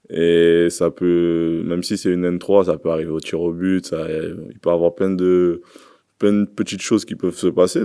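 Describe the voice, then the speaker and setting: A man's very deep, low voice, dark and mellow in tone, at a fairly slow pace, in a very clean recording with a silent background. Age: 20s. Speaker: professional footballer. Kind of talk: press conference. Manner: halting.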